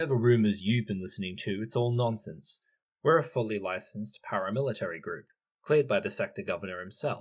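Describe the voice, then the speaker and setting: A man puts on a gruff character voice at a medium pitch. He talks very fast with very wide pitch swings. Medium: read story. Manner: gruff, curt.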